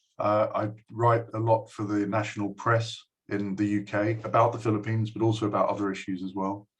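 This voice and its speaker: A man speaks at a fairly quick pace in a flat, monotone delivery. His voice is fairly low and somewhat breathy. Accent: English. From England. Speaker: university lecturer. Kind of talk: speech to a school. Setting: recorded video address. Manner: hesitant, many fillers.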